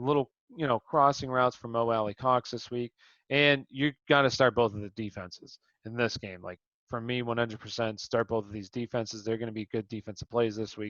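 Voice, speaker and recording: Here is a man with an ordinary speaking voice. He talks at a fairly quick pace with fairly even intonation. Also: medium pitch for a man, big swings in loudness. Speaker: fantasy sports show host. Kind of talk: casual sports analysis chat.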